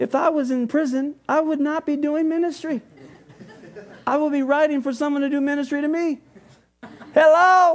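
A man with an extremely high pitch speaks at a moderate pace, leaving long, frequent pauses. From California (Oxnard area), Mexican-American family. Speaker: guest preacher. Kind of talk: sermon. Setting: church with congregation. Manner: animated.

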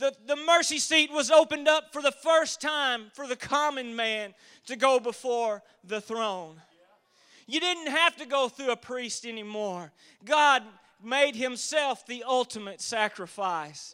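In a Southern US accent, a man with an extremely high pitch projects a raised voice with a bright, sharp tone, lively intonation, big swings in loudness and a fairly slow pace. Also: very clean recording, silent background. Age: 40s. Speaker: lay preacher. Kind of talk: sermon. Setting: church.

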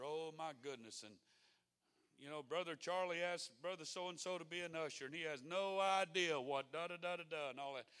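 A man with a slight Mississippi accent speaks in a high pitch with ordinary pitch variation and a bright, sharp tone. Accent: Mississippi brogue, slight. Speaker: pastor. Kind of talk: sermon. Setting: church.

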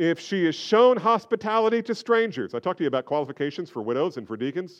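A man with an American accent speaks at a high pitch, his voice making very wide pitch swings against a quiet background. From New Jersey. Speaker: pastor. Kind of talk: sermon. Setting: church.

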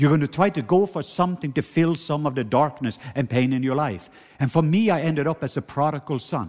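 A man with a Norwegian accent, fairly high pitch, ordinary pitch variation, an animated tone and a fairly quick pace. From Norway. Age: 50s. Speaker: preacher. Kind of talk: sermon. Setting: church.

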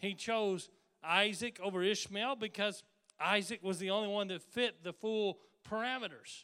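The voice is raised and projected, with a bright, sharp tone. It moves at a fairly slow pace. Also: man. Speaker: pastor. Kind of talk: sermon.

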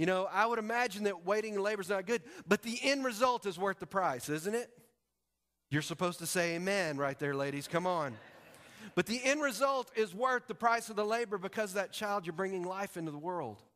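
A man speaks at a fairly quick pace in a high voice, with an animated, warm tone and a bright, sharp edge. His intonation is lively, and the recording is very clean over a silent background. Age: 40s. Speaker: preacher. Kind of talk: sermon. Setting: church with congregation. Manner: animated, warm, rallying the congregation with call-and-response.

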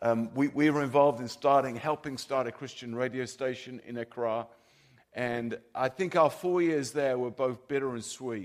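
Using a plain, everyday voice, a man talks at medium pitch. His pace is moderate and his intonation fairly even. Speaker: visiting pastor. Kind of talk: sermon. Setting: church with audience.

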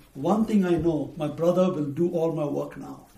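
A man speaks at a moderate pace in a high voice, with noticeable background noise and audible echo in the room. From India, Bombay. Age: 50s. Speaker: missionary preacher. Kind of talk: testimony.

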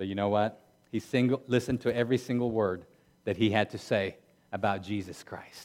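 At a fairly quick pace, a man speaks with a fairly low pitch and fairly even intonation. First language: not English. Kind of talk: sermon. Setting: church.

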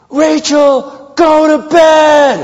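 Someone shouts in a put-on character voice. The delivery is loud and yelled throughout. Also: man. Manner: yelling, sharp.

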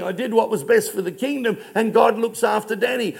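A man with an Australian accent and a high pitch speaks at a moderate pace. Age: 60s. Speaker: pastor. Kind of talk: sermon.

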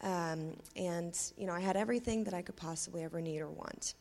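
Here a woman with an American accent has an ordinary speaking voice, a fairly low pitch, fairly even intonation and a moderate pace. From US, Tulsa (adopted from Russia at six). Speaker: recovering addict. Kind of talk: personal testimony. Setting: church stage with congregation.

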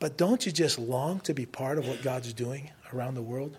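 Speaking in a plain, everyday voice with an American accent, a man talks at a moderate pace with lively intonation. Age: 60s. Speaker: missionary. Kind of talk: sermon. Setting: church.

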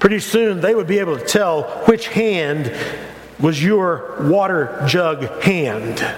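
Over noticeable background noise, a man with a high pitch speaks at a very slow pace with lively intonation. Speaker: pastor. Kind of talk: sermon. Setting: church. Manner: hesitant, many fillers and repetitions.

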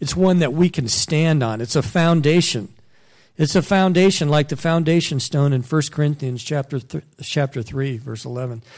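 A man with a plain, everyday voice, a fairly high pitch, ordinary pitch variation and a moderate pace. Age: 50s. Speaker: missionary. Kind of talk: sermon.

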